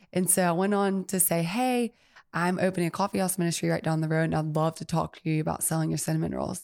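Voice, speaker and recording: Very fast and fairly low-pitched, a woman with an Alabama accent speaks with ordinary pitch variation on a very clean recording with a silent background. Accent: Southern US (Alabama). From US South, Mobile, Alabama. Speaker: coffee shop owner. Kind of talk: casual interview. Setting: studio.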